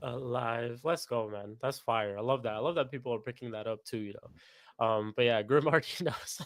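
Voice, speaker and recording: A man speaks in a plain, everyday voice at medium pitch and a moderate pace. He has ordinary pitch variation and hardly any pauses. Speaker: football podcast host. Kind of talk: live stream chat.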